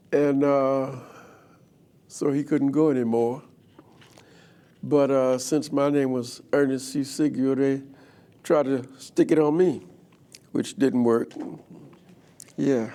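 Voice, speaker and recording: With a New Orleans accent, a man speaks very slowly at a fairly high pitch, his dark, mellow tone flat and monotone and broken by long, frequent pauses. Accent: New Orleans Southern US. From US South, New Orleans, Louisiana. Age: 80s+. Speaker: guest speaker telling his life story. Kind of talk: life story testimony. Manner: casual, joking.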